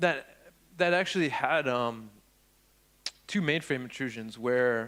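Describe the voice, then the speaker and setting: Here a man speaks with a New York accent at medium pitch. His tone is bright and sharp, with ordinary pitch variation. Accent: New York American. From upstate New York. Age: 40s. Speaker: security researcher, conference speaker. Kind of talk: conference talk. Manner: casual, halting with many fillers.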